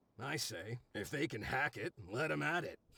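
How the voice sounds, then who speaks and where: A raspy, put-on character voice at a moderate pace. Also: man, medium pitch for a man. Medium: video game. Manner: casual, chatty.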